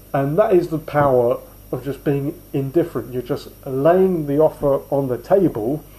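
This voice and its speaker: This man has a fairly high pitch with a dark, mellow, somewhat breathy tone. He moves at a moderate pace with ordinary pitch variation. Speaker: sales trainer. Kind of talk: casual instructional talk.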